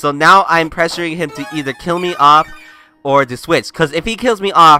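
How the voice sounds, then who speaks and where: Music plays behind a man speaking at a high pitch. He talks at a fairly quick pace with ordinary pitch variation. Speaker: gaming commentator. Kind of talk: game commentary.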